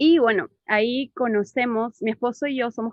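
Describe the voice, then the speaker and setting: A woman's fairly high voice with ordinary pitch variation. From Peru. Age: 30s. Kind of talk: testimony. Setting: video call.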